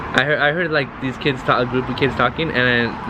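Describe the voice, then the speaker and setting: Noticeable background noise sits behind a man talking at a very fast pace. His pitch is medium, with ordinary pitch variation. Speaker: outdoor cooking vlogger. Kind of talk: casual cooking tutorial. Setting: outdoors at a backyard grill. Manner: halting, many fillers and repeats.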